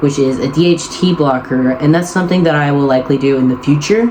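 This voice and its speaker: A fairly fast-talking man with a fairly high pitch and ordinary pitch variation, heard over noticeable background noise. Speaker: vlogger. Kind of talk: casual monologue.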